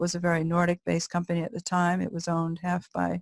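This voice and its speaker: Heard in a dry, close recording with no echo, a woman with an American accent speaks at a fairly quick pace in a fairly low pitch. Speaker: corporate lawyer and culture consultant. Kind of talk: webinar presentation. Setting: online webinar. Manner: hesitant, many fillers.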